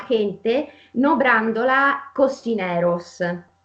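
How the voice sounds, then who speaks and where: Noticeable background noise is present. The speaker's intonation sounds lively. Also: woman. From Italy. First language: Italian (speaking Spanish). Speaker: interviewer, channel host. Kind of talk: interview.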